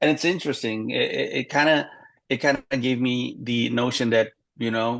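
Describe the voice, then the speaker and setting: Over a quiet background, a man with an Indonesian accent speaks at a moderate pace. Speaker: stand-up comedian. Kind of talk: interview.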